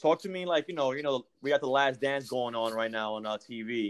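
Dry, close sound with no echo carries a man's voice in a New York accent. He speaks at a moderate pace with ordinary pitch variation. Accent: New York American. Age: 30s. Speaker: podcast host. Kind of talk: casual interview. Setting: call.

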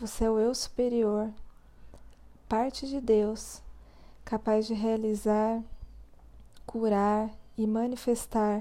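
A woman with a fairly high pitch and a dark, mellow tone speaks very slowly in a flat monotone. She leaves long, frequent pauses. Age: 20s. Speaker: therapist and podcast host. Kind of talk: spiritual reflection monologue.

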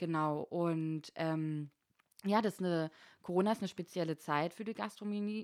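An unremarkable speaking voice moves at a moderate pace with ordinary pitch variation, recorded with a dry, close sound and no echo. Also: woman. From eastern Germany, Berlin and Frankfurt (Oder). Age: 30s. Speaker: bar and club manager. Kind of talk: casual chat.

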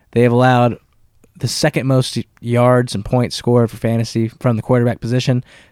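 In a flat monotone, a man speaks at a medium pitch and a fairly quick pace, the sound dry and close with no echo. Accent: American. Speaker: sports podcast co-host. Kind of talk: casual chat.

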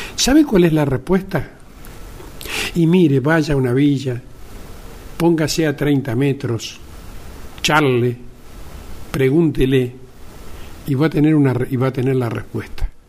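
Over noticeable background noise, a man speaks at a fairly slow pace and fairly high pitch, with ordinary pitch variation and long, frequent pauses. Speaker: podcast host, media journalist. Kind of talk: opinion monologue. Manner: conversational, with fillers.

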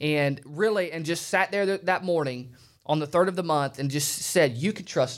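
At a moderate pace, a man with a fairly high pitch talks in a normal speaking voice with ordinary pitch variation. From Alabama, US South. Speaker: preacher. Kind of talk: sermon. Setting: studio.

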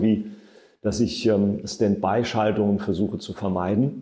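A man with a dark, mellow tone at a moderate pace. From Saarland, Germany. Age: 50s. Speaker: state environment minister. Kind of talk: podcast interview.

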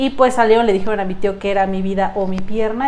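A woman talks very fast, and the clip has audible room echo along with noticeable background noise. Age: 20s. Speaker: domestic violence survivor and amputee. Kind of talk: testimony.

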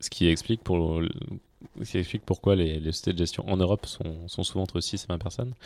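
On a very clean recording with a silent background and a dry, close sound with no echo, a man with a very deep, low pitch and a dark, mellow tone speaks very fast with fairly even intonation. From France, Auvergne (Clermont-Ferrand). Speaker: venture capital investor. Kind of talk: casual interview.

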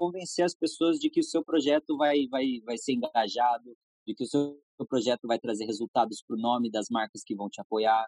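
This man has a normal speaking voice and keeps a moderate pace. The sound is dry and close, with no echo. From Brazil, São Paulo state (Jacareí). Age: 20s. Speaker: skateboard brand manager and skater. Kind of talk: casual interview chat.

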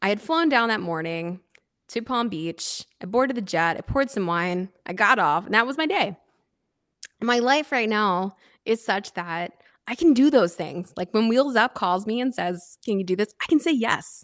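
An American-accented woman with an unremarkable speaking voice talks at a moderate pace and fairly high pitch with lively intonation, recorded very cleanly against a silent background. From US Northeast, Philadelphia area. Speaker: sommelier and wine influencer. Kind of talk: interview.

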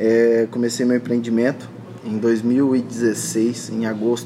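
A man speaks over noticeable background noise. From Brazil, interior of Paraná. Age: 20s. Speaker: entrepreneur. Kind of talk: casual interview chat.

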